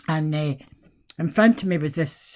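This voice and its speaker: With a Scottish accent, a woman speaks fairly slowly in a very deep, low pitch. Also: very clean recording, silent background. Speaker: vlogger. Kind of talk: casual monologue. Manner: animated.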